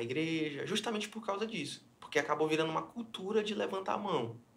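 The pace is fairly quick, with noticeable background noise. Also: man. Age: 20s. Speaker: pastor. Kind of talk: casual chat. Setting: studio.

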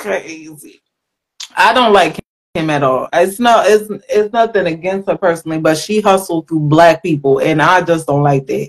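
A woman with an American accent talks in a fairly low voice with ordinary pitch variation. Hers is a plain, everyday voice. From Philadelphia. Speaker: guest co-host. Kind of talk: casual chat.

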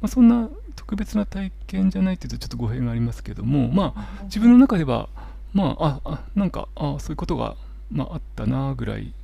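A man talks at a fairly quick pace with big swings in loudness. Noticeable background noise comes through. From Japan, Miyagi. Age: 40s. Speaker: holistic therapist. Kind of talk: interview. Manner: soothing, calm.

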